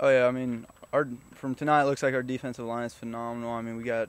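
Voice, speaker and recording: Monotone and flat, a man speaks at a fairly quick pace, the sound dry with no echo. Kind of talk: interview answer. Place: open country. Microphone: handheld.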